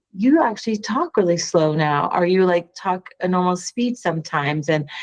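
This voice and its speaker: A woman's medium-pitched, an ordinary speaking voice, with ordinary pitch variation at a moderate pace. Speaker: podcast co-host. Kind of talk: casual chat.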